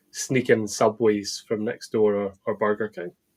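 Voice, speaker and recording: A man speaks in a Scottish accent at a fairly low pitch. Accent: Scottish, nondescript, taken for Edinburgh. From eastern Scotland (Balmedie, Arbroath, Dundee). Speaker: football fan, supporters club member. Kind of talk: casual chat. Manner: halting, repeats words.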